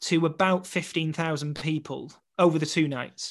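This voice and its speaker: A man's fairly high-pitched voice at a moderate pace, with fairly even intonation over a quiet background. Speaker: West End actor and photographer. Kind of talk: casual interview chat, storytelling.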